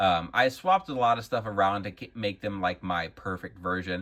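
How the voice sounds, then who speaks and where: The speaker has a Wisconsin accent and talks at a moderate pace. Pitch variation is ordinary. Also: man. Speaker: action figure collector and YouTuber. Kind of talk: casual product showcase. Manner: casual, with frequent fillers.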